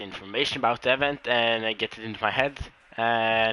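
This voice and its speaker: A man speaks at a medium pitch over noticeable background noise. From Norway, Oslo. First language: Norwegian. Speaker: esports race commentator. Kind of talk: live commentary. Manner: halting.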